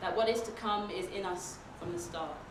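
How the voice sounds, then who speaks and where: Noticeable background noise accompanies a woman speaking at a fairly slow pace, her medium pitch showing ordinary variation. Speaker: poet. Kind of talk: spoken word poetry performance.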